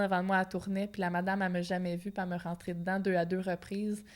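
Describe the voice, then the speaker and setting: A woman's medium-pitched voice in a Quebec accent, monotone and flat in intonation. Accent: Québécois French. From Quebec (Outaouais). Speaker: professional boxer. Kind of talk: interview. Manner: casual, colloquial.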